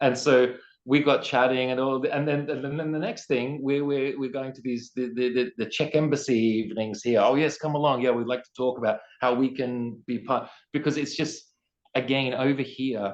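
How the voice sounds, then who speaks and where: Speaking with an Australian accent, a man talks at a moderate pace and medium pitch, his intonation fairly even but his loudness swinging widely. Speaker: poet, singer-songwriter and teacher. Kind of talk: interview answer.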